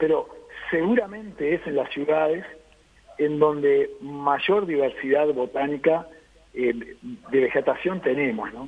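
Against noticeable background noise, a man speaks at a fairly slow pace with a fairly high pitch and lively intonation. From Uruguay. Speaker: beekeeper and agronomist. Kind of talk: radio interview.

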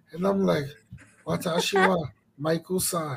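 A man speaks with an American accent at a fairly slow pace. His intonation is lively. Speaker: podcast and stream host. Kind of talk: casual chat. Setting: studio. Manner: animated.

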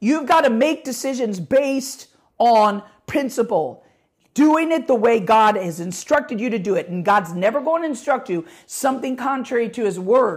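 High-pitched, a woman speaks with lively intonation. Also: moderate pace. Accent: American. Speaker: pastor and podcast host. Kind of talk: sermon-style teaching. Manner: animated, voice gets louder when excited; unscripted, hesitant with filler words.

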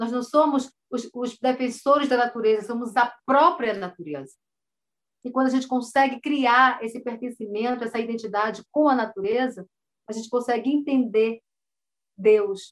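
With long, frequent pauses, a woman speaks in a high pitch with ordinary pitch variation. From Alto Solimões, Amazonas, Brazil. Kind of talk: interview.

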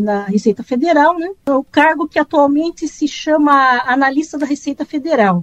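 A woman's lively intonation at a moderate pace, with a dry, close sound and no echo. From Brazil, Campinas (São Paulo interior). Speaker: tax auditor and former journalist. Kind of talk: interview. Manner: halting.

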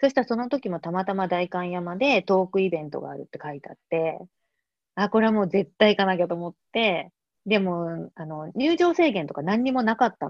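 Talking at a fairly quick pace, a woman with a medium pitch has a normal speaking voice. Her intonation is lively, with big swings in loudness. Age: 40s. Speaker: artist. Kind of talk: casual interview conversation.

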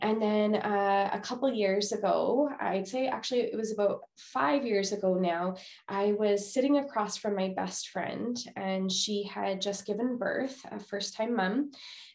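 With a Canadian accent, a woman speaks at medium pitch with ordinary pitch variation amid audible room echo. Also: fairly slow pace. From Manitoba, Canada. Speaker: psychologist. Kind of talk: interview.

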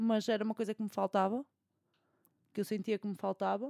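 The recording is dry and close with no echo, carrying a woman's dark, mellow tone. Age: 20s. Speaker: podcast co-host, law student. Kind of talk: casual chat.

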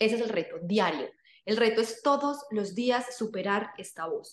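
At a moderate pace, a woman speaks in a fairly high voice with ordinary pitch variation. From Colombia, various cities. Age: 30s. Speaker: fitness coach. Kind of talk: podcast interview.

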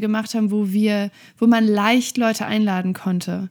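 A woman talks in a plain, everyday voice at a fairly high pitch. Her intonation stays fairly even, and her pace is moderate. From western Germany, Oberbergisches Land (North Rhine-Westphalia). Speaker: church pastor. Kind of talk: casual interview.

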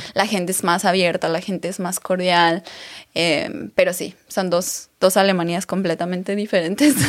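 A woman talks at a moderate pace in an ordinary speaking voice, medium in pitch with fairly even intonation. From Mexico, Aguascalientes. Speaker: beauty pageant winner and influencer. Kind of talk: interview.

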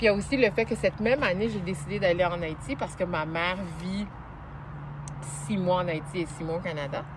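Against noticeable background noise, a woman with a fairly low pitch talks at a fairly quick pace with ordinary pitch variation, broken by long, frequent pauses. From Montreal, Quebec. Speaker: journalist and TV host. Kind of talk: interview. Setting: outdoors in a park.

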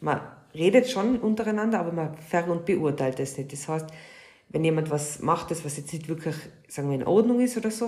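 A somewhat breathy woman's voice, fairly low in pitch, dark and mellow, at a fairly quick pace with ordinary pitch variation. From Austria. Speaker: podcast co-host, hairdresser. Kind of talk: casual chat.

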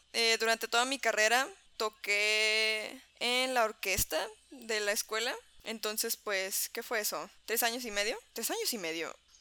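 A woman's voice comes through bright and sharp at a fairly high pitch. The recording is very clean with a silent background. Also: ordinary pitch variation, fairly slow pace. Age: 20s. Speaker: podcast co-host. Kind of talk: casual chat while gaming.

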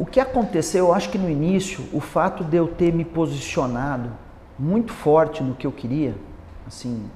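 Against noticeable background noise, a man with a fairly high pitch talks at a fairly slow pace with lively intonation. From Paraná, Brazil. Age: 50s. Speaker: architect. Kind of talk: interview.

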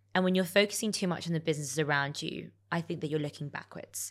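Someone with a London accent talks at a very fast pace on a very clean recording with a silent background. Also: woman. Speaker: entrepreneur. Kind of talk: interview.

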